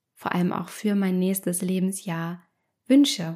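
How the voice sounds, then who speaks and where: A woman's voice with a dark, mellow tone. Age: 30s. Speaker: psychologist and podcast host. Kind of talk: solo podcast monologue.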